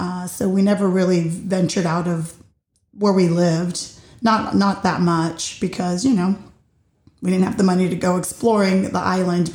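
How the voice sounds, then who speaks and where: A woman speaks in a dark, mellow tone. Her pitch variation is ordinary. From Puerto Rico, partly raised in the US. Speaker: podcast host. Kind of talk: solo personal monologue. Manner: loud.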